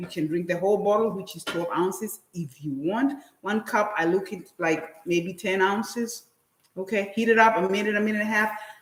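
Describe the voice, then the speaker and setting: A woman's normal speaking voice at a moderate pace, with ordinary pitch variation. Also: medium pitch for a woman. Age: 60s. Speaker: guest cook on wellness show. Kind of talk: casual cooking and wellness demonstration.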